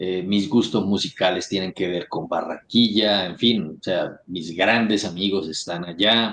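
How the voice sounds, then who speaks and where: Speaking in a strong Santander Colombian accent, a man with a fairly low pitch moves at a fairly slow pace with ordinary pitch variation. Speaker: influencer and political candidate. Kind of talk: interview.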